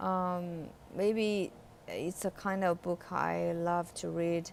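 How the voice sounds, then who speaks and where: A woman speaks with a Chinese accent. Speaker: English learner reading aloud on own channel. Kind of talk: reading aloud; casual reflection. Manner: halting, with hesitations and repeated words; hesitant with fillers.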